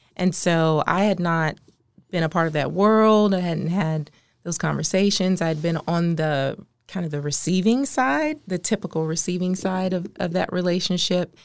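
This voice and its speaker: In a very clean recording with a silent background, a woman with an American accent and an unremarkable speaking voice talks at a fairly low pitch, with ordinary pitch variation and a moderate pace. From Maryland, US. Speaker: nonprofit consultant and social entrepreneur. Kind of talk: podcast interview.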